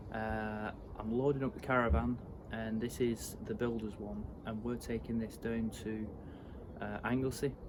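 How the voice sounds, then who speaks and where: With audible room echo around him, a man speaks at a medium pitch and a moderate pace with fairly even intonation. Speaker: property renovation vlogger. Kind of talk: casual vlog talk to camera.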